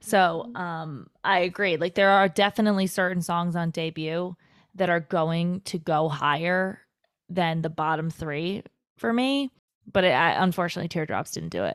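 A normal speaking voice with ordinary pitch variation comes at a moderate pace in a very clean recording with a silent background. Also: woman, fairly low pitch for a woman. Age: 20s. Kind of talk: casual chat.

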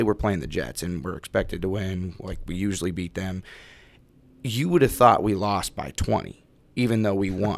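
A man with a West Coast accent, fairly low pitch, moderate pace, on a very clean recording with a silent background. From Salem, Oregon. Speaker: former football player. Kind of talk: casual chat. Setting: studio.

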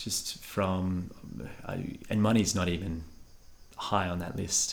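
In an Australian accent, a man with a very deep, low pitch speaks with fairly even intonation amid audible room echo. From Western Australia (Bunbury, Perth). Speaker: engineer and restaurant founder. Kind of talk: interview conversation. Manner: considered, measured.

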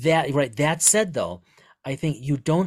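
Somewhat breathy, a man speaks at a fairly slow pace in a very clean recording with a silent background. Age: 40s. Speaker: podcast host and author. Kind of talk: casual chat.

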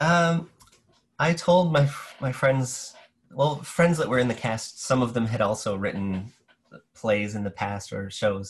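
A man with a medium-pitched, somewhat breathy voice talks with lively intonation, leaving long, frequent pauses. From New Brunswick, Canada. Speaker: theater artist and educator. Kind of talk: casual interview.

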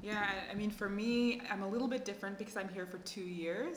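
A woman with a Canadian accent talks at a fairly quick pace with ordinary pitch variation, with audible room echo and noticeable background noise. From Canada. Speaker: grant officer at a development foundation. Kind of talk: casual chat.

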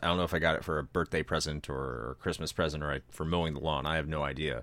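A man talks at a very fast pace in a bright, sharp tone with vocal fry. The recording is very clean with a silent background. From United States. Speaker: podcast presenter. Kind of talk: casual chat.

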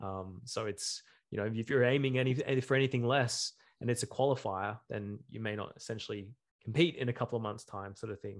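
A man's medium-pitched voice with an Australian accent, ordinary pitch variation and a fairly quick pace against a quiet background. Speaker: bodybuilding podcast co-host. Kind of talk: casual chat. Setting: video call.

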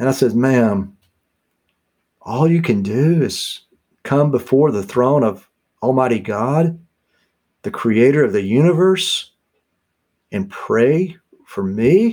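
Over a very clean recording with a silent background, a man with a dark, mellow tone and medium pitch speaks at a very slow pace with long, frequent pauses and lively intonation. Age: 50s. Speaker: author and historian on Spurgeon. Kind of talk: interview.

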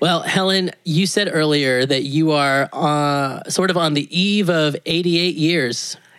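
A man's fairly high voice, very slow, with hardly any pauses, fairly even intonation and very even loudness, over noticeable background noise. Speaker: podcast host. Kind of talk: interview. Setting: at home, in living room.

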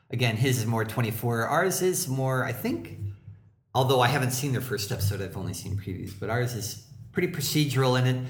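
A man of medium pitch speaks at a fairly quick pace with lively intonation. Audible room echo and noticeable background noise surround him. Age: 40s. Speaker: comedy writer and actor. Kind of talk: casual chat.

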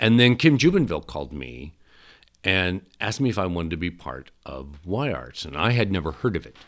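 In a Midwestern American accent, a man with a very deep, low voice and vocal fry talks at a fairly quick pace, with very wide pitch swings and big swings in loudness. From southeast Nebraska. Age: 60s. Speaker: stage actor and voice actor. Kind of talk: casual interview. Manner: animated, laughs often.

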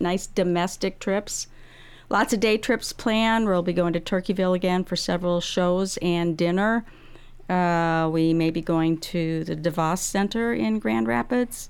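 Pitched medium for a woman, an ordinary speaking voice moves at a fairly slow pace with lively intonation and very even loudness, on a very clean recording with a silent background. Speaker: senior services trip coordinator. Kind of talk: casual radio interview. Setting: studio. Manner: upbeat, laughs often.

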